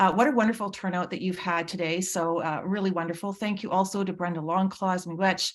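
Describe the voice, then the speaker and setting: A woman with a Manitoban accent talks at a fairly quick pace with hardly any pauses, her medium pitch held in fairly even intonation. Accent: Canadian (Manitoba). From Manitoba, Canada (Red River Métis). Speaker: nursing professor. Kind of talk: conference presentation. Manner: halting.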